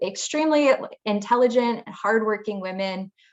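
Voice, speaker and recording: A woman with a slight Minnesota accent, ordinary pitch variation and a fairly slow pace. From Minnesota, US. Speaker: engineer on a women in STEM panel. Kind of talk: panel discussion. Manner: halting, many fillers.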